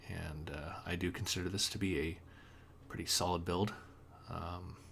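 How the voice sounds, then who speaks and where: Audible room echo surrounds a man whose very deep, low voice stays monotone and flat at a moderate pace. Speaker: gaming guide reviewer. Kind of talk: unscripted tutorial. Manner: quiet; halting with many fillers.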